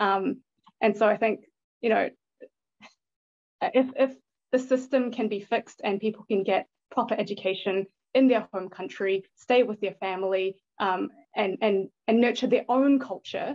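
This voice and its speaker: With a New Zealand accent, a woman speaks at a fairly high pitch and moderate pace, with ordinary pitch variation and long, frequent pauses. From born in Thailand, grew up in New Zealand. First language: Thai. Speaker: bitcoin investor and educational video creator. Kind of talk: podcast interview.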